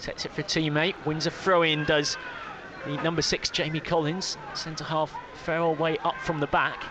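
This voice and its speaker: Amid noticeable background noise, a man with a fairly high pitch speaks at a moderate pace in a monotone, flat intonation. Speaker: football commentator. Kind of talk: radio football commentary.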